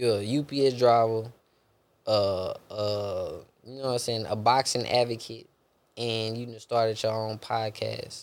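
A man with a Houston accent talks in a monotone, flat intonation with big swings in loudness. The recording is very clean, with a silent background. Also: medium pitch for a man, fairly slow pace. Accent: Houston Texan, Southern US. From Houston, Texas. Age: 20s. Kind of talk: casual interview chat. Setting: daughter present, casual recording. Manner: laid-back, conversational.

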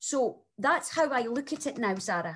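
A woman with a strong Scottish accent speaks in a fairly high pitch with lively intonation. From Scotland. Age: 40s. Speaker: single mother sharing breakup story. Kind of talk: interview testimony.

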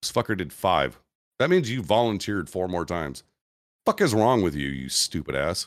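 A man with a very deep, low pitch and vocal fry talks at a moderate pace with very wide pitch swings, in a very clean recording with a silent background. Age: 40s. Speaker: military veteran. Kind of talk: casual chat.

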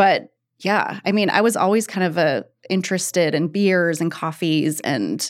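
A woman's plain, everyday voice with an American accent, fairly low in pitch, at a fairly slow pace with ordinary pitch variation, on a very clean recording against a silent background. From Oregon, Eugene. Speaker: winemaker. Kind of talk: casual chat.

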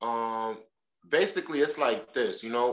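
At a moderate pace, a man with a New York accent talks at a medium pitch. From New York, Brooklyn (Crown Heights). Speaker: oyster shucker. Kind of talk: casual chat.

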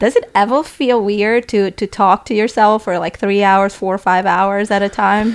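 With an Eastern European accent, a woman speaks with hardly any pauses and fairly even intonation. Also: medium pitch for a woman, moderate pace. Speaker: podcast contributor and guest interviewer. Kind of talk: casual chat. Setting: studio.

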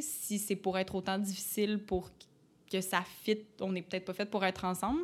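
At a moderate pace, a woman speaks with fairly even intonation and medium pitch, on a very clean recording with a silent background. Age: 20s. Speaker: podcast guest. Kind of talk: casual chat.

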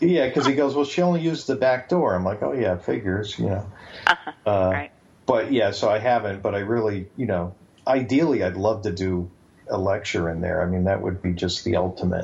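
Somewhat breathy and fairly quick, the speaker talks with lively intonation in a southern New England accent. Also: man, fairly low pitch for a man. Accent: southern New England American. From Bridgeport, Connecticut. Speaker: author. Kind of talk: interview.

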